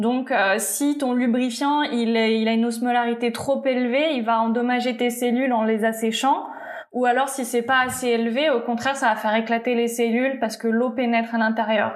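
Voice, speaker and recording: A woman's high, monotone voice with flat intonation, very even loudness and a moderate pace, amid noticeable background noise and audible room echo. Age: 20s. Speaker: YouTuber and tattoo studio owner. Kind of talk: casual interview.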